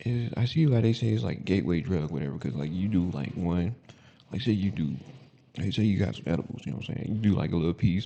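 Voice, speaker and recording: Lively intonation marks speech delivered at a very rapid clip. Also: man, very deep, low pitch for a man. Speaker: podcast host. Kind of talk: casual monologue. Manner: mumbling at times; halting, filler-heavy.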